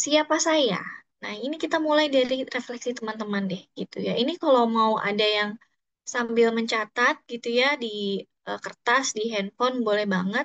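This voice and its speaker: Her fairly high-pitched voice moves at a moderate pace as this woman speaks. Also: dry, close sound with no echo. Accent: slight Sundanese. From Bandung, West Java (Sundanese). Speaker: psychologist and HR trainer. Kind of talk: online workshop talk. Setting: Zoom session. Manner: casual, hesitant fillers.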